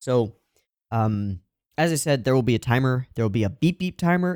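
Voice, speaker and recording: A man's dark, mellow voice at a medium pitch, with lively intonation and a dry, close sound with no echo. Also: very clean recording, silent background. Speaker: anime reaction youtuber. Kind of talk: casual reaction-video chat. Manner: jittery.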